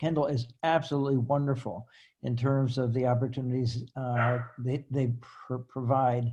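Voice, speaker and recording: Speaking at a moderate pace, a man has a dark, mellow, somewhat breathy tone. His intonation is monotone and flat. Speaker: retired professor and author living in a retirement community. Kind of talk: casual panel talk. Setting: video call. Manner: halting with repetitions.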